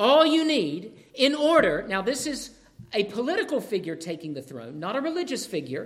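At a moderate pace, a man speaks at an extremely high pitch with very wide pitch swings and big swings in loudness. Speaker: preacher. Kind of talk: sermon. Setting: church. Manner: animated, excitable; volume and tone rise when excited.

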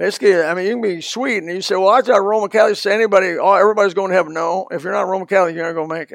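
Speaking at a very fast pace with hardly any pauses, a man uses a high pitch and fairly even intonation but big swings in loudness. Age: 70s. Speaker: pastor. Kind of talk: sermon. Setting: church.

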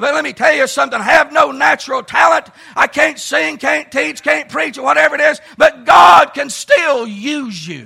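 A man with an American accent shouts at an extremely high pitch, at a moderate pace with very wide pitch swings. Crowd noise fills the background. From US South, rural Tennessee hills. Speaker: Baptist preacher. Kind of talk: sermon. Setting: church camp meeting service with congregation.

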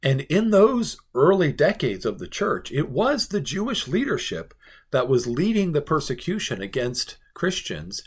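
Somewhat breathy speech with very wide pitch swings, on a very clean recording with a silent background. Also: man. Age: 40s. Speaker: pastor. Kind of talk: Bible devotional teaching.

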